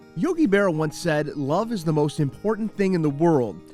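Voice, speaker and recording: Music plays in the background as a man speaks with a fairly high pitch. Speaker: reporter. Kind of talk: TV news feature narration.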